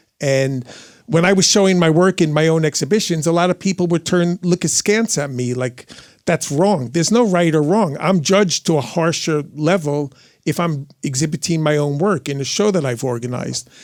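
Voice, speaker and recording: A man with a fairly high voice speaks in an energetic tone at a moderate pace, with ordinary pitch variation. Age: 60s. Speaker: art dealer and writer. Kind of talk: live podcast interview answer. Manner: energetic, candid.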